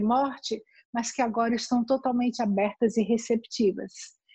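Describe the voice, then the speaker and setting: A woman speaks at a fairly slow pace with a high pitch and a dark, mellow tone, in a dry, close sound with no echo. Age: 60s. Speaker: palliative care nurse. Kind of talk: interview.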